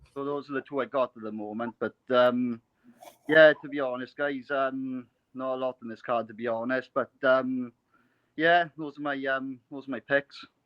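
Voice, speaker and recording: Monotone, flat delivery from a man at medium pitch in a Welsh accent. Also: moderate pace, big swings in loudness. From Wales. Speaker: caller. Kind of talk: casual chat. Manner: halting, many fillers.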